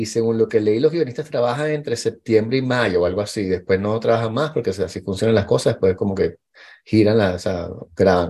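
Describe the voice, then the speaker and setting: In a Venezuelan accent, a man with a medium pitch and a dark, mellow tone talks at a very fast pace against a quiet background. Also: ordinary pitch variation. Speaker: podcast host. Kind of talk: casual chat.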